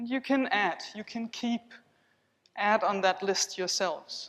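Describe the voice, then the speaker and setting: A woman's lively intonation with a non-native accent. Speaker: body psychotherapist. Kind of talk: conference keynote with guided exercise. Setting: conference hall with audience. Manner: calm, measured.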